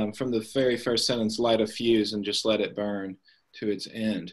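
At a moderate pace, a man speaks in an ordinary speaking voice with medium pitch. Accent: American. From US South, Tennessee (Nashville area). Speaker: writing program director and novelist. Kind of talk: author interview. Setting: video call.

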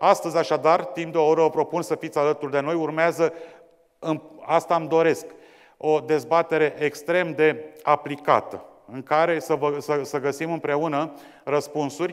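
The background is silent. A man talks with monotone, flat intonation. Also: moderate pace. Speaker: debate moderator. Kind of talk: formal introduction to an audience. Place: hall. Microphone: lapel.

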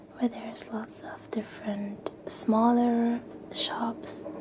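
A soft-spoken woman at a very slow pace, fairly high in pitch with ordinary pitch variation, amid noticeable background noise. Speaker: haul vlogger. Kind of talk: ASMR soft-spoken clothing haul. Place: home room.

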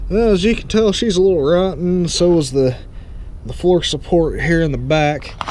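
Over light background noise, a man with a high pitch speaks at a moderate pace. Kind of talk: casual walkthrough commentary. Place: open country. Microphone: phone near.

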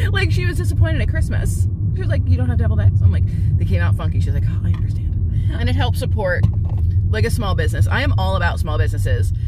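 A woman talks at a very fast pace with ordinary pitch variation. Loud background noise surrounds her, and the sound is dry with no echo. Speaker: vlogger. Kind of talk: casual vlog chat. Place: car.

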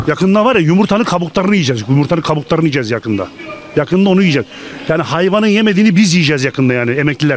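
Over faint background music, a man talks in an animated tone at a very fast pace, his pitch swinging very widely while his loudness stays very even, the sound dry with no echo. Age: old. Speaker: retiree interviewed in street; interviewee. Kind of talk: street interview. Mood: angry, complaining about prices. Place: street. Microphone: handheld.

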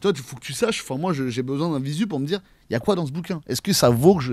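Talking at a very fast pace, a man has a fairly high pitch, lively intonation and a slightly mellow tone.

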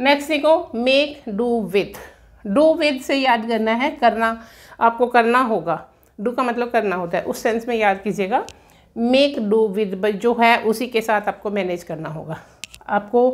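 Against a quiet background, a woman with a plain, everyday voice and a fairly high pitch speaks at a fairly slow pace with lively intonation. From India. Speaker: English teacher. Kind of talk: lecture. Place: classroom. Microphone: camera far.

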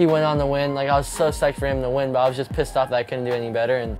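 With clear music in the background, a man speaks using fairly even intonation. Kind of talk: interview answer. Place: shop.

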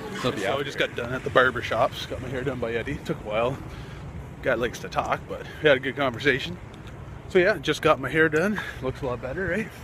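Very fast male speech at a fairly high pitch with ordinary pitch variation, dry with no echo, over noticeable background noise. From Canada. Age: 30s. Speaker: vlogger. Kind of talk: casual vlog. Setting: in a car.

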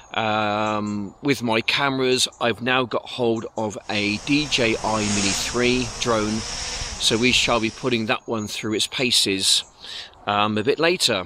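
Noticeable background noise surrounds a man speaking with fairly even intonation, the sound dry with no echo. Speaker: vlogger cyclist. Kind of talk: casual vlog chat. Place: bicycle.

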